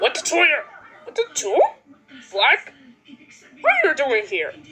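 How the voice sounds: This cartoonish character voice sits at an extremely high pitch. Its pitch swings very widely. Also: moderate pace.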